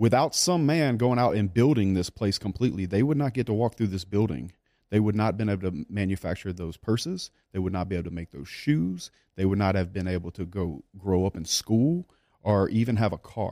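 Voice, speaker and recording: With a Louisiana accent, a man with a fairly low pitch and a dark, mellow tone talks at a fairly quick pace with lively intonation, in a dry, close sound with no echo. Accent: Southern US (Louisiana). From South Louisiana. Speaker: business owner. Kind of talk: casual interview. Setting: studio.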